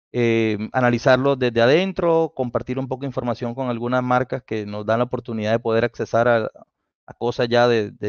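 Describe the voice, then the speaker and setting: In a dry sound with no echo and a quiet background, a man with a Colombian accent speaks at a fairly quick pace, with ordinary pitch variation and big swings in loudness. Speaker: automotive engineer and instructor; instructor. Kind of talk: technical talk on live stream. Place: home room. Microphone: headset.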